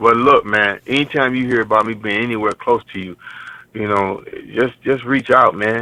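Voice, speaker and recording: In an American accent, a man speaks with a normal speaking voice at a medium pitch. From Cleveland, Ohio. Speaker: R&B singer. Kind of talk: casual chat.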